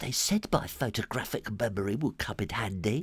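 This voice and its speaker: Speaking at a moderate pace, a man performs in a put-on character voice. His pitch is medium. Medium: read story.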